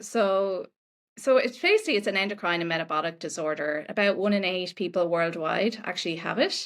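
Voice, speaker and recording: Speaking with an Irish accent at a fairly quick pace, a woman uses a medium pitch and ordinary pitch variation. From Ireland. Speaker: nutritionist. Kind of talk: podcast interview.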